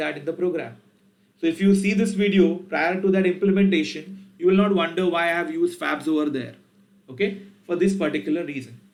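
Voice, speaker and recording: A man with a high pitch and an Indian accent, ordinary pitch variation, big swings in loudness and a fairly quick pace. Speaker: programming teacher. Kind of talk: tutorial.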